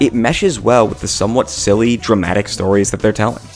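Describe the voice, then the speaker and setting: Music plays in the background. A man is speaking. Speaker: video essayist. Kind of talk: video essay narration. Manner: casual, joking.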